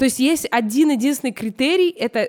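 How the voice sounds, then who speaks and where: Her tone is animated and her intonation lively, at a high pitch. The sound of this woman's voice is dry and close, with no echo. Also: very clean recording, silent background. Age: 20s. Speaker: fashion stylist. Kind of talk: casual chat.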